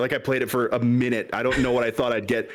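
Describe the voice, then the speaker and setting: Very fast delivery with an American accent. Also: man. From West Michigan. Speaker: content creator guest. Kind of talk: casual chat.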